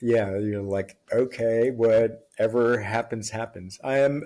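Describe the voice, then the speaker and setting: A man speaks in an American accent at a medium pitch. His pace is very slow. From Las Vegas, US West. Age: 60s. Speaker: podcast guest. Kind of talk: casual chat.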